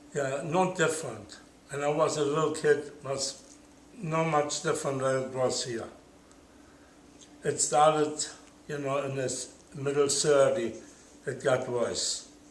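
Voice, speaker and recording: Speaking with a German accent at a fairly slow pace, the voice keeps fairly even intonation and takes long, frequent pauses. Audible room echo and noticeable background noise surround it. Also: man, fairly high pitch for a man. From Germany. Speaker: Holocaust survivor. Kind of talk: oral history interview. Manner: halting.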